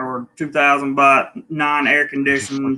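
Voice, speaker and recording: A bright, sharp tone with a Southern US accent at a fairly slow pace. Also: man. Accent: Southern drawl. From US South, North Carolina (Charlotte area). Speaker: travel vlogger. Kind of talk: casual chat.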